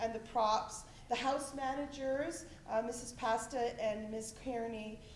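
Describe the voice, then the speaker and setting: Loud and high-pitched, a woman speaks in a monotone, flat intonation. Audible room echo and noticeable background noise fill the recording. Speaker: school administrator. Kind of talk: thank-you speech. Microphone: no microphone.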